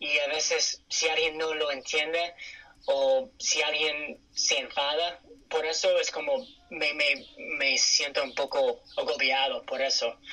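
Against noticeable background noise, a man with an English accent speaks at a very slow pace. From California, US. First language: English (speaking Spanish). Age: 30s. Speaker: interview guest. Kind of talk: interview. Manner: hesitant with fillers.

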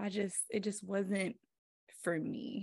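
Vocal fry marks this woman's voice. She has an American accent and a medium pitch. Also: quiet background. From US South, Greensboro, North Carolina. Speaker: esthetician and spa owner. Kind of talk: casual chat.

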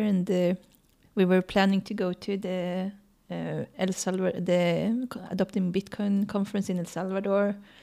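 With a Swedish accent, a woman speaks in a dark, mellow tone at a medium pitch and moderate pace, her intonation monotone and flat. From Sweden. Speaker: scientist and traveling parent. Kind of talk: interview.

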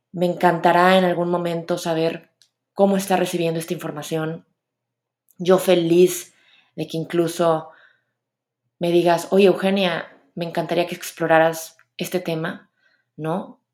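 A woman's fairly low, monotone, flat voice with long, frequent pauses, in a very clean recording with a silent background. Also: fairly slow pace. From Mexico, Monterrey. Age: 30s. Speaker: podcast host. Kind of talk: solo podcast monologue.

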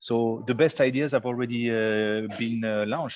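In a French accent, a man speaks at a medium pitch. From France. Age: 40s. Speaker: startup founder. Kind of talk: interview.

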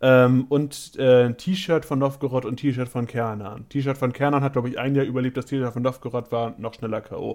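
A man with an unremarkable speaking voice talks at a moderate pace and medium pitch, with fairly even intonation and hardly any pauses, on a very clean recording with a silent background. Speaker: theme park podcaster and vlogger. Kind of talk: casual chat.

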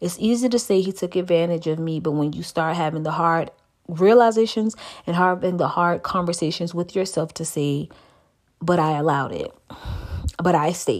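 A woman's fairly low voice with an animated tone, ordinary pitch variation and a moderate pace on a very clean recording with a silent background. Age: 30s. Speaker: podcast host. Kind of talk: personal storytelling monologue.

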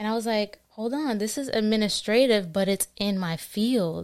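A woman with an American accent and an unremarkable speaking voice talks at a fairly slow pace and medium pitch with fairly even intonation. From New Jersey (born Queens, New York). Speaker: recent college graduate, court administration worker. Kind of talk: casual interview chat.

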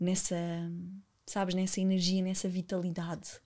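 On a very clean recording with a silent background, a woman with a plain, everyday voice and medium pitch talks at a fairly quick pace. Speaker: podcast host and former dancer. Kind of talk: casual interview chat.

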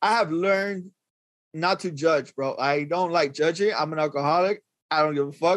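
Speaking with an American accent, a man has a high pitch, ordinary pitch variation and a moderate pace. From Northeast Los Angeles. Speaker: rapper. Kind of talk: casual chat.

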